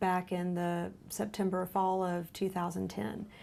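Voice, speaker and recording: In a Lowcountry accent, a woman with a medium-pitched voice talks at a moderate pace with fairly even intonation, recorded very cleanly against a silent background. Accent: US Southern, Lowcountry. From South Carolina Lowcountry, Beaufort. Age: 30s. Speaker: genetic counselor, cancer patient. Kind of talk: interview testimony.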